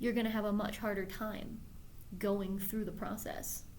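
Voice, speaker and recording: Amid audible room echo, a woman speaks with monotone, flat intonation. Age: 30s. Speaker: doctoral student and video blogger. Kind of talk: personal video blog monologue. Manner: self-assured, authoritative; hesitant, with fillers and repeats.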